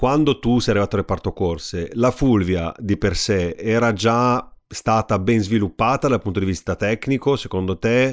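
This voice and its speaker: In a very clean recording with a silent background, a man speaks at a medium pitch with very even loudness. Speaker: podcast host. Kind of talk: interview. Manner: halting.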